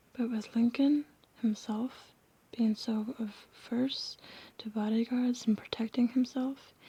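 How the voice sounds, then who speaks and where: Whispering at a very slow pace. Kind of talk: ASMR whispered book reading. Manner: whispered.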